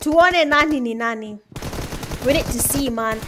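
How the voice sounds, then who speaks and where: High-pitched and animated, a woman's voice shows ordinary pitch variation. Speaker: esports caster. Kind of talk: live commentary. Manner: fast.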